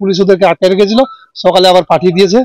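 A man's high-pitched voice with fairly even intonation, dry with no echo. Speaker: witness. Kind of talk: interview answer. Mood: tense, describing violent attack. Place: open country. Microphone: handheld.

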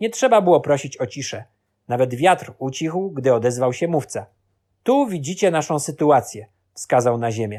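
In a very clean recording with a silent background, a man with an unremarkable speaking voice talks at a moderate pace, pitched fairly high. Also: lively intonation. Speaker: audiobook narrator. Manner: measured, solemn, storytelling pace.

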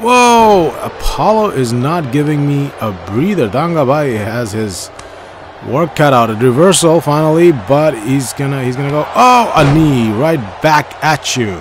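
Fairly slow speech from a man with a fairly high pitch and very wide pitch swings, over noticeable background noise. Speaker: gaming YouTuber. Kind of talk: live play-by-play commentary over gameplay, like sports commentary. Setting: recorded video voiceover while playing a game. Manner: choppy, repeating phrases as the action unfolds.

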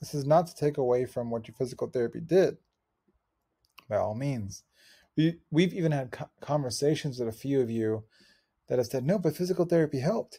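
Against a quiet background, a man talks at a fairly quick pace with a somewhat breathy, dark, mellow tone and ordinary pitch variation. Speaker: athletic injury coach. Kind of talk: tutorial. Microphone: webcam.

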